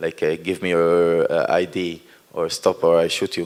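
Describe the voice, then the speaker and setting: At a moderate pace, a man talks with an Israeli accent. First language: Hebrew. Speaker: performance artist. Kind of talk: post-performance talk. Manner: halting.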